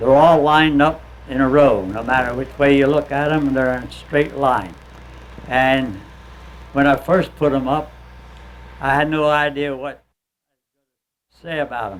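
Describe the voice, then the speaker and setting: A man speaks with a fairly high pitch and big swings in loudness, leaving long, frequent pauses. Audible room echo is present. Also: ordinary pitch variation, moderate pace. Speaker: war veteran. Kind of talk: testimony. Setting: stage with audience.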